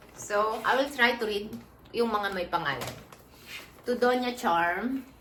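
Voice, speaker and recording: Over noticeable background noise and audible room echo, a woman talks very slowly in a fairly high pitch with ordinary pitch variation. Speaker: vlogger. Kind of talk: casual unboxing vlog. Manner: animated.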